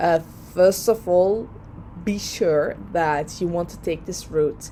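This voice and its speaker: A woman with a Dutch accent and a fairly low pitch speaks at a very slow pace. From Netherlands. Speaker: lawyer and vlogger. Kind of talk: personal vlog advice. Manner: hesitant, many fillers.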